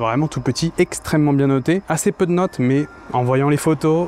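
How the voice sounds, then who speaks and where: A man talks at a moderate pace in a fairly high pitch for a man, with ordinary pitch variation and noticeable background noise. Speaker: food and travel vlogger. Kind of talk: vlog food review. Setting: small restaurant counter. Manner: whispering; casual.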